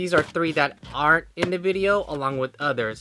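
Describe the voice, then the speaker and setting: Against noticeable background noise, a man talks at a fairly quick pace in an enthusiastic tone. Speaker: sneaker collector YouTuber. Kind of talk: collection showcase vlog. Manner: fast; casual, enthusiastic.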